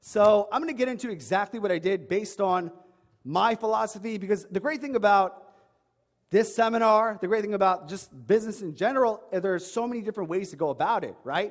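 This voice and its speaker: Animated in tone, a man talks at a very fast pace in a New York accent. His pitch is high, with ordinary pitch variation. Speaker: online fitness coach. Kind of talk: seminar talk.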